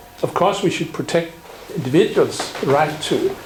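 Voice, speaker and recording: A man with a high voice speaks over noticeable background noise, with audible echo from the room. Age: 60s. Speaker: symposium speaker on general practice. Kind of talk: conference talk. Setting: symposium with audience.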